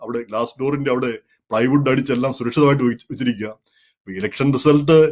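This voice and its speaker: Fairly even intonation from a man at medium pitch. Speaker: commentary show host. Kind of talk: monologue commentary. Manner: halting.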